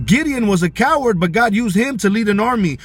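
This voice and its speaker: With very wide pitch swings, a man speaks at a high pitch and a fairly quick pace. Noticeable background noise can be heard. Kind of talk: casual motivational talk. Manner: fast, rushed bursts; halting, repeated words.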